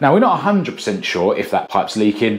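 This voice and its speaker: His pitch shifts in an ordinary way as a man talks. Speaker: DIY vlogger. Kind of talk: casual vlog chat. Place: bathroom. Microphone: lapel.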